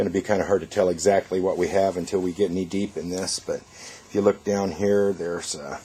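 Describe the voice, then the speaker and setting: Here a man speaks with a very deep, low pitch and a fairly even intonation. He talks with an American accent. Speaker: auctioneer. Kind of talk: walkthrough preview of estate auction items to camera. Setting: on location at estate sale. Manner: casual, conversational.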